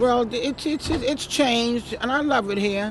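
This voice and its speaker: A woman speaks with a New York accent and lively intonation. Noticeable background noise is present. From New York City, Brooklyn. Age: 70s. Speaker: retired nurse, neighborhood local. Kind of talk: casual street interview. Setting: outdoors on a city street stoop. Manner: halting, repeats words.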